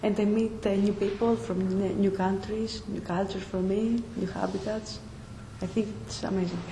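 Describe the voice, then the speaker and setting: At a moderate pace, a woman speaks in a medium pitch with fairly even intonation. Noticeable background noise and audible room echo fill the recording. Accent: Greek. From Greece. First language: Greek. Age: 20s. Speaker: nursing student. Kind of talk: interview. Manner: halting.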